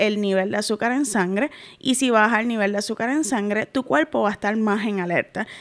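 The pitch moves in an ordinary way, and the recording is very clean with a silent background. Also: woman. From Puerto Rico. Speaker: podcast host, adoption and parenting educator. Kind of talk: educational monologue. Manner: warm, conversational.

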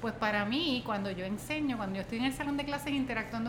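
A woman's fairly high-pitched voice with lively intonation, amid noticeable background noise and audible room echo. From Puerto Rico, Utuado. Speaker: professor and former political candidate. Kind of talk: interview. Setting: in-person studio interview.

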